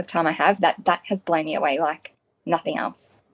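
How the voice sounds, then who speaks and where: Over background music, a woman speaks at a moderate pace and fairly low pitch with fairly even intonation, the sound dry and close with no echo. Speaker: stay-at-home mum and business partner. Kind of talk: interview answer. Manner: soft-spoken, humble.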